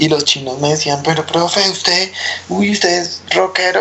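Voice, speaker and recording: A man's fairly high voice with lively intonation at a moderate pace, amid noticeable background noise. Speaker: punk musician. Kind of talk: casual chat.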